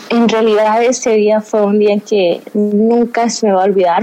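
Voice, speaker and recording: Against noticeable background noise, a woman speaks at a fairly slow pace in a fairly high pitch with monotone, flat intonation. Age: 20s. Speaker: interview guest sharing faith story. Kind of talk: testimony interview. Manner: halting, frequent word repetitions.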